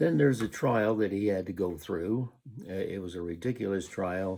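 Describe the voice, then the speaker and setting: The voice has a dark, mellow tone and an American accent, moving at a fairly slow pace on a very clean recording with a silent background. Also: man. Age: 80s+. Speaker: retiree recording personal video diary. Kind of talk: casual monologue. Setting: at home, recording on tablet. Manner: halting, many fillers.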